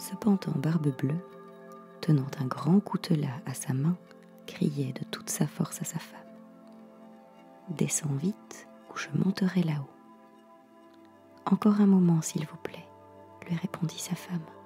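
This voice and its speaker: The speech moves at a fairly slow pace with long, frequent pauses while music plays in the background. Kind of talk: sleep story reading, fairy tale read aloud. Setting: home studio, close microphone. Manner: dramatic storytelling, reading with character dialogue.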